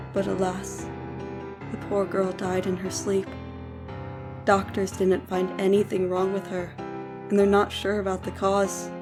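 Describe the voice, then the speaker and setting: Music in the background under a woman's fairly slow speech. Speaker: story narrator. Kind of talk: horror story narration.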